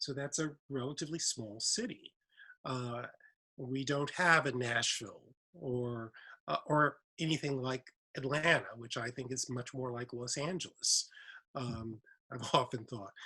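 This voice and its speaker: A man with an American accent speaks in a bright, sharp tone at a medium pitch with ordinary pitch variation. He goes at a fairly slow pace, with long, frequent pauses. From Mississippi (Indianola), US South. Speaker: professor, writer. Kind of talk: panel conversation.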